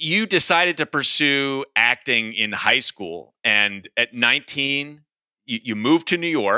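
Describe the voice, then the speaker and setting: In a very clean recording with a silent background, a man speaks at a fairly slow pace with a fairly high pitch and lively intonation. His tone is bright and sharp, and the sound is dry and close with no echo. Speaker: podcast host, executive coach. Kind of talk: interview conversation.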